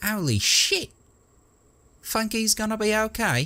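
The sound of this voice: In a put-on character voice, nasal and fairly high in pitch, the speaker talks at a fairly slow pace.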